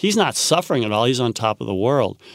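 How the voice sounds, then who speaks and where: Here a man has an unremarkable speaking voice at a medium pitch, with lively intonation. The recording is very clean, with a silent background. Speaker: biblical scholar. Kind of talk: interview.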